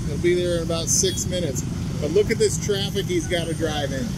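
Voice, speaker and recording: Against loud background noise, a man's voice comes through with a dry sound and no echo. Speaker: travel vlogger. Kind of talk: casual chat. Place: street. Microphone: phone near.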